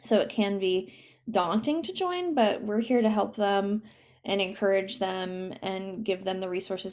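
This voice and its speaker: Her pitch is medium. The woman keeps her intonation fairly even. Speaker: nonprofit program director. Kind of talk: presentation on a video call. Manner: fast.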